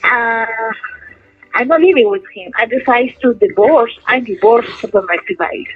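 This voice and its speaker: A woman with a Peruvian accent, high in pitch, at a moderate pace, with very wide pitch swings and big jumps in loudness. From Peru, Lima. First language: Spanish. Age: 30s. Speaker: prison inmate. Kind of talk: interview. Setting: phone call. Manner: halting.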